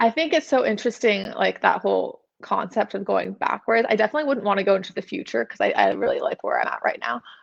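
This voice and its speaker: A woman with a Californian accent, talking at a very fast pace with hardly any pauses. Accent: Californian American. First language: German. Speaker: model. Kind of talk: podcast interview.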